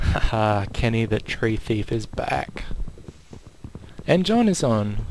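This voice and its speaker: A man talks very slowly at a medium pitch, his intonation lively. Noticeable background noise runs underneath. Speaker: gaming video creator. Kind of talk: gameplay commentary. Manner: more animated than usual.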